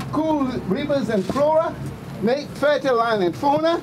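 At a moderate pace, a man talks with an extremely high pitch and very wide pitch swings, with noticeable background noise behind him. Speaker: protest poet. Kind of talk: spoken word performance. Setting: outdoors. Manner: passionate. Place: street. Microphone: camera far.

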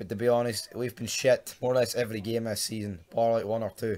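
This man speaks in a Glasgow accent at a medium pitch. He keeps a moderate pace. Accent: Scottish (Glasgow). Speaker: football fan vlogger. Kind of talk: casual talk to camera, football preview rant. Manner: sweary, frustrated.

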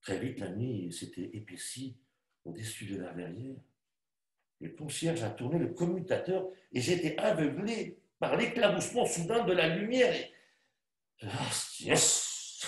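A man with vocal fry speaks very slowly, leaving long, frequent pauses while his pitch swings very widely. Audible room echo is present against a quiet background. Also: fairly high pitch for a man. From Spain, raised in France. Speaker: actor. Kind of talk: dramatized literary reading. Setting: online video call. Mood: weary, subdued, contemplative. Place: home room. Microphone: webcam.

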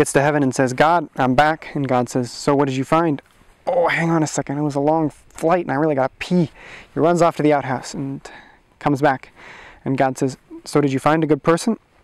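A man speaks at a fairly quick pace with fairly even intonation. The sound is dry, with no echo. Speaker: storyteller. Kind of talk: oral storytelling. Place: forest. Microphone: lapel.

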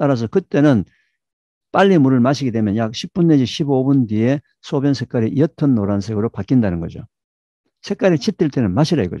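A man with a dark, mellow tone and very wide pitch swings is heard against a quiet background, the sound dry with no echo. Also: medium pitch for a man, moderate pace. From South Korea. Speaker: scientist and health lecturer; health lecturer. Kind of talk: lecture. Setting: video call. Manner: animated.

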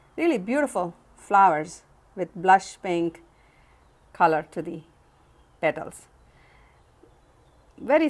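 Her pitch fairly low, a woman talks at a fairly slow pace with ordinary pitch variation. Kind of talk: casual show-and-tell narration. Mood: calm, admiring. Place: home room. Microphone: phone near.

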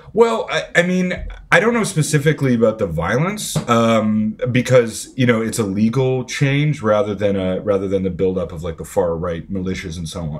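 A man talks at a moderate pace with hardly any pauses, his pitch swinging very widely. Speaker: podcast guest. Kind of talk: interview answer. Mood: serious, thoughtful. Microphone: earbuds.

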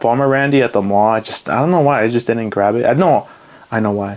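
Noticeable background noise beneath speech of ordinary pitch variation. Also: man. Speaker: YouTube collector. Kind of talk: casual video monologue. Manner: filler-heavy, casual.

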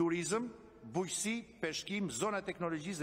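A man talks at a fairly quick pace. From Albania. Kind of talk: parliamentary speech. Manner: formal. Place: meeting room. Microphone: podium.

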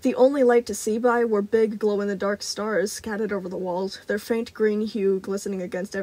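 The intonation is fairly even as the speaker reads aloud in a natural voice.

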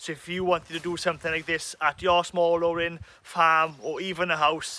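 A man talks at a moderate pace in a high pitch with a bright, sharp tone. The recording is dry, with no echo. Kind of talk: tutorial. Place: open country. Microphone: phone near.

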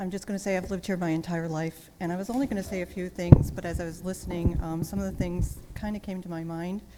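A woman at medium pitch talking very fast with hardly any pauses, fairly even intonation and big swings in loudness, over noticeable background noise. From Kenosha, Wisconsin, US Midwest. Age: 60s. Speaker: public commenter. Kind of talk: public hearing testimony. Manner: casual.

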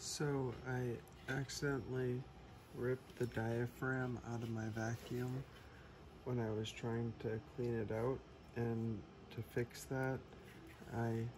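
A somewhat breathy man, very slow and monotone with flat intonation, over noticeable background noise. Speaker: DIY hobbyist. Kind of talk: DIY repair tutorial. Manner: whispered. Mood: tired, slightly self-deprecating. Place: garage. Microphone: phone near.

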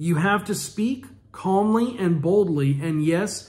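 Against a quiet background, a man with a high pitch talks at a fairly slow pace. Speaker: minister. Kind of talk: fervent prophetic prayer and decree. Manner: commanding, declarative exhortation; forceful, authoritative proclamation. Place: home room. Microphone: phone near.

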